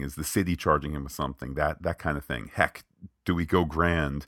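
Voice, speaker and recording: Vocal fry colors a man's very deep, low pitch, with ordinary pitch variation at a moderate pace. The recording is very clean, with a silent background. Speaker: podcast host. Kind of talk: casual podcast review chat.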